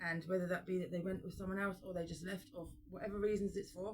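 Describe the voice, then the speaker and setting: A woman's somewhat breathy, fairly low voice at a very fast pace, with fairly even intonation. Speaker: tarot reader. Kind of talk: tarot reading.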